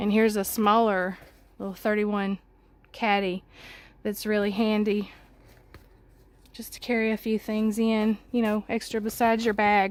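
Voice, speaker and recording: With a Southern US accent, a woman speaks at a fairly high pitch in a flat monotone, taking long, frequent pauses. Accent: Southern drawl. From Mississippi. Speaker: home tour vlogger. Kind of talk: casual home tour.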